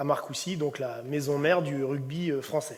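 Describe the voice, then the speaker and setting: Audible room echo surrounds a man's fairly high-pitched voice. He keeps a moderate pace and fairly even intonation. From Brittany, France (Ille-et-Vilaine). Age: 30s. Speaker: rugby coach. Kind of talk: conference talk. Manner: hesitant, many fillers.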